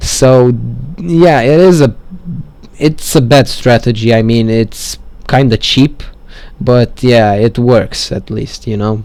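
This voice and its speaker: A man with a medium-pitched voice speaks very slowly. He leaves long, frequent pauses. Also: ordinary pitch variation. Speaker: gaming tutorial maker. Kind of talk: game walkthrough commentary. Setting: low-quality microphone. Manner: casual, hesitant.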